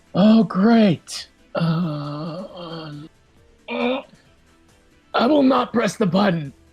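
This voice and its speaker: A put-on character voice at a middle pitch, spoken at a very slow pace, with faint music in the background. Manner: hesitant.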